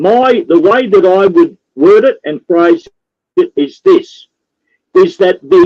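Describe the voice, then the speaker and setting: In an Australian accent, the voice moves at a very slow pace with a dark, mellow tone and very wide pitch swings, in a dry, close sound with no echo. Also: man. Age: 60s. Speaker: freedom activist. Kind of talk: political talk show interview. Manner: animated, repetitive emphasis.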